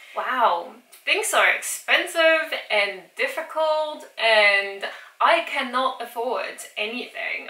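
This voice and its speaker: Audible room echo surrounds a woman as she talks. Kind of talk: casual vlog chat. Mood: cheerful, amused. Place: kitchen. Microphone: camera far.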